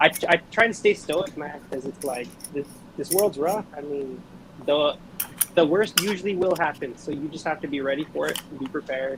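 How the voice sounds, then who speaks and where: At a moderate pace, a man talks in a fairly high voice with ordinary pitch variation. There is noticeable background noise. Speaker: reptile breeder and seller. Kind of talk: casual chat. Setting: live stream.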